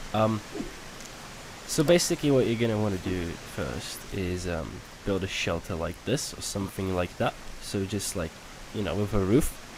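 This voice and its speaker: A man with a non-native accent, fairly low in pitch, at a moderate pace with ordinary pitch variation and long, frequent pauses, over noticeable background noise. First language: not English. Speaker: gaming youtuber. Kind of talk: gameplay tutorial. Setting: home recording at night. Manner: casual, hesitant with fillers.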